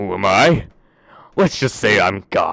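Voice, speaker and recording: A man uses a put-on character voice. It sits at a fairly low pitch. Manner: mysterious.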